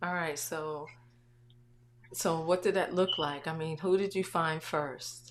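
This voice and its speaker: Soft-spoken and very deep in pitch, a woman talks at a very slow pace with fairly even intonation and long, frequent pauses. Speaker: online talk show host. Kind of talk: casual interview livestream. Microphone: volume turned up, was too quiet.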